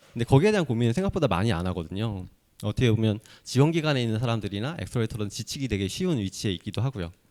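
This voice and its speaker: Very fast and lively in intonation, a man speaks at a medium pitch. The recording is very clean with a silent background. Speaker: accelerator investment team lead. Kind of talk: conference talk.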